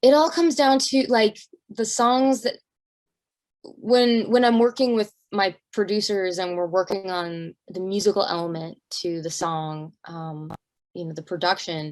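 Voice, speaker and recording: A woman with an American accent uses an ordinary speaking voice at medium pitch, talking at a fairly slow pace with lively intonation and big swings in loudness. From Arizona, US. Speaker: singer. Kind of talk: interview.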